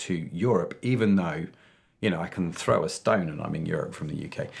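A man with a British accent and very wide pitch swings, in a very clean recording with a silent background. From UK. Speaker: podcast host. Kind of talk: interview. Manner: animated.

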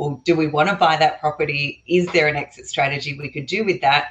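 A woman with an Australian accent, very deep and low in pitch, somewhat breathy, at a fairly quick pace. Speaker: real estate investor. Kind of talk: casual interview chat. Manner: talkative, approachable.

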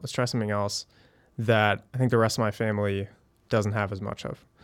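A man speaks at a fairly quick pace in a normal speaking voice, his pitch fairly low. His intonation stays fairly even, and the recording is very clean with a silent background. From Connecticut, US East Coast (also moved around abroad). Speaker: startup founder and CEO. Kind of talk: casual interview.

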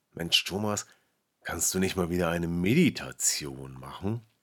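The voice has a calm, soothing tone and moves at a fairly slow pace. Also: man. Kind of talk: guided meditation. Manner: slow, calm, soothing, with long pauses; gentle, soft-spoken, repeating phrases like an echo.

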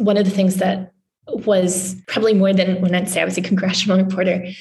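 A woman's somewhat breathy, medium-pitched voice in a monotone, flat intonation, with audible room echo. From Newfoundland, Canada. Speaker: journalist. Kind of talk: interview.

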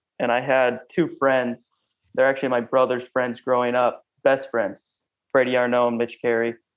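Using a Pacific Northwest accent, a man speaks at medium pitch and a moderate pace. His intonation is monotone and flat, with very even loudness. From US Pacific Northwest, Clarkston, Washington. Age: 20s. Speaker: ultramarathon runner. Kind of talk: interview.

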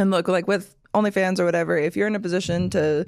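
Very fast and fairly low in pitch, a woman's voice carries vocal fry. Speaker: podcaster and adult entertainer. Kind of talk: casual chat.

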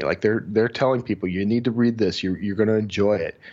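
This is a man speaking with an American accent. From Texas, Houston area. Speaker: thriller author and book marketing director. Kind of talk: casual interview. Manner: halting, repeats words.

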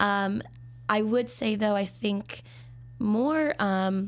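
A woman in an American accent at a very slow pace, medium pitch, lively intonation and long, frequent pauses. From Minnesota. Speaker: sommelier. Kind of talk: casual interview. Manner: talkative; laughs often.

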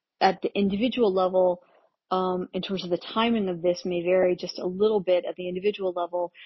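Monotone, flat intonation from a woman at medium pitch. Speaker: spiritual channeler. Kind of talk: channeled spiritual transmission monologue. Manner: casual, meandering with many fillers.

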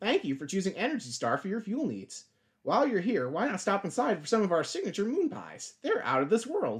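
The speaker uses a put-on character voice with very wide pitch swings. The pace is fairly quick. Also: man, high pitch for a man. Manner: cheerful advertising pitch.

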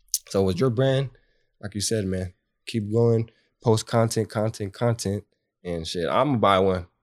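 A man with an American accent talks at a fairly slow pace and a fairly low pitch, with ordinary pitch variation and long, frequent pauses. The recording is very clean with a silent background, and the sound is dry and close with no echo. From Bakersfield, California. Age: 20s. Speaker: fitness trainer and business owner. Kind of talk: casual chat.

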